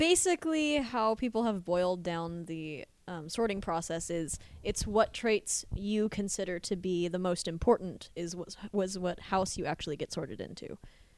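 A woman speaks at a moderate pace with medium pitch. Her intonation is lively. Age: 20s. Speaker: podcast co-host. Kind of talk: casual chat.

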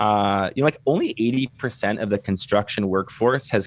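Man with a normal speaking voice, medium pitch and ordinary pitch variation, at a fairly slow pace. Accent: Canadian. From Canada. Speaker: construction business consultant. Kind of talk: podcast interview.

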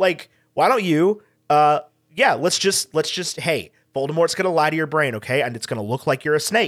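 A man with an American accent speaks in an unremarkable speaking voice, his pitch fairly high. His pace is moderate and his intonation lively. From Texas Hill Country. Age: 20s. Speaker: podcast guest, fellow podcaster. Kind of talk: casual chat. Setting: video call.

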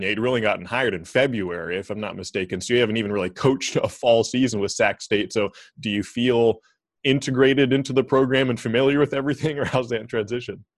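Over a quiet background, a man in an American accent talks very fast at a medium pitch with ordinary pitch variation. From Oregon (Corvallis). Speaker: sports journalist, podcast host. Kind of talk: casual interview chat; scripted narration.

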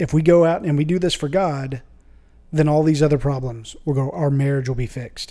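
A man with a normal speaking voice, fairly high pitch and ordinary pitch variation, at a fairly quick pace. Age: 30s. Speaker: church member. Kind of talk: casual chat. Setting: studio.

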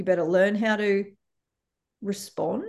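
A woman speaks in a plain, everyday voice at a moderate pace and medium pitch, her intonation fairly even. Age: 40s. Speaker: empathy educator. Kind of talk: casual interview.

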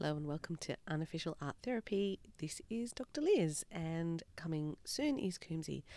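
A woman with an Australian accent, fairly low pitch and a dark, mellow tone, lively intonation, a moderate pace and hardly any pauses. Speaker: podcast host, doctor. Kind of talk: scripted intro; casual chat.

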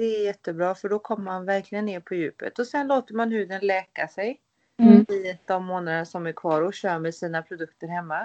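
A woman talks in a normal speaking voice at a medium pitch. Her pace is fairly quick, and her pitch varies in an ordinary way. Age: 30s. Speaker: skin care therapist, clinic owner. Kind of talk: interview on a podcast.

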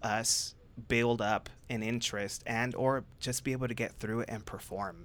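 Speaking at a moderate pace, a man with a Californian accent holds a medium pitch in a monotone, flat line. The recording is very clean, with a silent background. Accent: Californian American English. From Southern California. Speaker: psychotherapist. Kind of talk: casual chat. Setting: studio.

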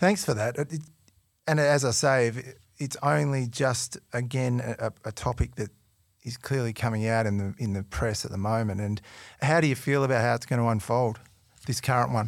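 A man's medium-pitched voice shows ordinary pitch variation, captured in a very clean recording against a silent background. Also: moderate pace. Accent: Australian. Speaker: podcast host. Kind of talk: interview. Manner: enthusiastic.

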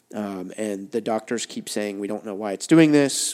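On a very clean recording with a silent background, a man with a normal speaking voice talks at a moderate pace, fairly low pitch and ordinary pitch variation. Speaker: youth pastor. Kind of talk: casual chat.

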